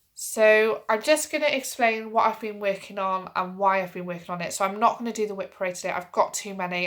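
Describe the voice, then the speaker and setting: The recording is very clean, with a silent background. A woman with a Welsh accent talks at a fairly quick pace with ordinary pitch variation. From Wales. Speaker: crafting vlogger. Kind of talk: casual vlog chat.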